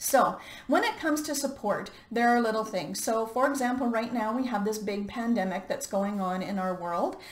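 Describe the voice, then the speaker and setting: Over noticeable background noise and audible room echo, a woman speaks at a moderate pace with a fairly high pitch. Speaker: life coach. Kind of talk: motivational talk.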